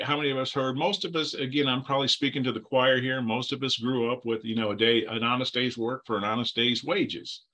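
Over a quiet background, a man talks at a fairly quick pace with hardly any pauses and fairly even intonation. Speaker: Bible teacher. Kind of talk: lecture. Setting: video call. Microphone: video call.

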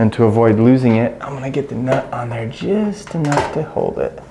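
Audible room echo follows a man speaking at medium pitch with a dark, mellow tone. His pace is moderate and his pitch variation ordinary.

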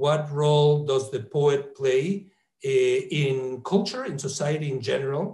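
Over a quiet background with audible room echo, a man with a fairly high pitch speaks very slowly in a somewhat breathy voice. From Mexico. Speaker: professor and interviewer; professor, interviewer. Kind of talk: interview. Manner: halting. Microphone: earbuds.

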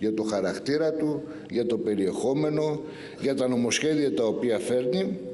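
Fairly slow delivery from a man. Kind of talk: political speech. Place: hall. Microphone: podium.

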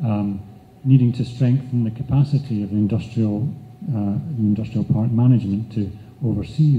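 With a Scottish accent, a man speaks at a moderate pace in a dark, mellow, somewhat breathy tone, with audible room echo and light background noise. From Scotland. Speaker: nonprofit chief executive; conference presenter. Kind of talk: conference presentation. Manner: halting, with fillers. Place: hall.

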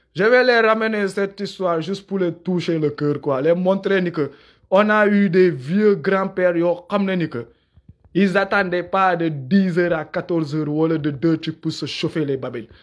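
In a quiet background, a man with a high voice talks at a fairly slow pace, his pitch varying in an ordinary way. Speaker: YouTube commentator. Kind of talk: live monologue. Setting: livestream. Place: home room. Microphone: phone near.

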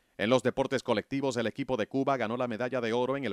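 A man speaks at a very fast pace. The recording is very clean, with a silent background and a dry, close sound with no echo. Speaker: documentary narrator. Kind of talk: sports documentary narration, scripted and read aloud. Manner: measured, formal, steady pace; informative, even-toned, briskly listing results.

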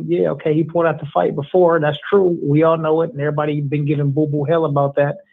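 A man races through his words at a very fast pace over a quiet background. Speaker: co-host of a boxing talk show. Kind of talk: casual chat. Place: home room.

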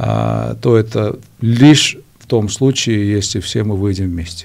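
This man has a Georgian accent and a fairly low pitch with ordinary pitch variation. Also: quiet background. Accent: Georgian accent in Russian. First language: Georgian (speaking Russian). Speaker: political analyst. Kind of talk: TV interview. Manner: halting, many fillers. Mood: serious political discussion. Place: studio. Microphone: studio mic.

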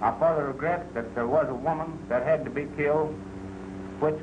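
A man with an American accent speaks at a moderate pace. His pitch is fairly high for a man, with noticeable background noise. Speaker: sheriff's deputy. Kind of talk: archival statement.

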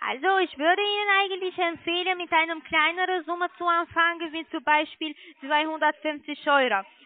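This woman talks at a moderate pace in an extremely high pitch, her intonation fairly even and the sound dry and close with no echo.

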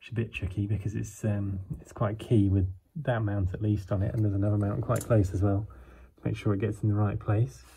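Over light background noise, a man with a fairly low pitch and a dark, mellow, somewhat breathy tone talks at a fairly quick pace with fairly even intonation. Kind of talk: casual walkthrough commentary. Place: garage. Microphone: phone near.

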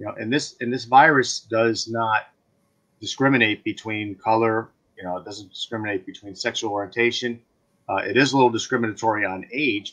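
This man has an unremarkable speaking voice with an American accent. He talks at a medium pitch and a moderate pace. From Connecticut, New Fairfield. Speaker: state legislator. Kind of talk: interview.

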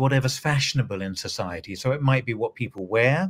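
A man's somewhat breathy voice at a moderate pace. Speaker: guest. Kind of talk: interview answer. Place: home room.

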